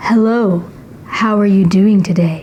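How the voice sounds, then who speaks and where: In a put-on character voice, a female-sounding speaker uses a husky, medium pitch at a moderate pace, with audible echo. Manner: attractive, friendly.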